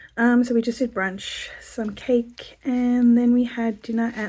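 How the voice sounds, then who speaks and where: With an Australian accent, a woman speaks fairly slowly in a dark, mellow tone, her fairly high voice keeping fairly even intonation. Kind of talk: casual talk to camera.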